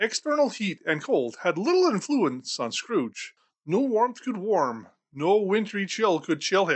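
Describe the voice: The delivery is plain reading aloud. Behind it, things stay quiet.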